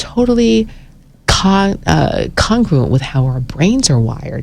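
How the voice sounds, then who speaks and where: The delivery is very slow. Noticeable background noise runs underneath. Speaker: storytelling program leader being interviewed. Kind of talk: radio interview answer.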